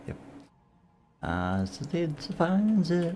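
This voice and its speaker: A man speaks at a very slow pace. He mumbles. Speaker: gaming streamer. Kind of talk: casual chat. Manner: mumbling.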